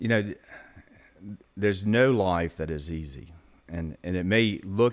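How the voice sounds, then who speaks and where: With a Mississippi accent, a man talks at a fairly slow pace with long, frequent pauses. His pitch is very deep and low, with ordinary pitch variation. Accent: Southern US (Mississippi). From Mississippi, US South. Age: 60s. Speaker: former congressman, business executive. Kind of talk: interview conversation.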